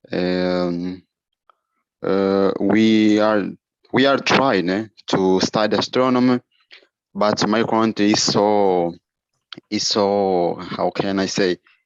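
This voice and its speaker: A man with a Portuguese accent speaks at a very slow pace with long, frequent pauses. His pitch is fairly low, his intonation fairly even and his loudness very even. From Angola. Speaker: aspiring astronomer, participant. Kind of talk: video call discussion. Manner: halting, struggling for words.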